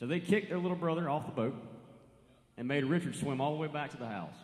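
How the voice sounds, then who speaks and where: Audible room echo surrounds a man's voice. He has an American accent and talks at a very fast pace. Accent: country twang. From western North Carolina mountains. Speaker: country singer-songwriter. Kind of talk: stage banter between songs. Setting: live stage with audience. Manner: casual, folksy.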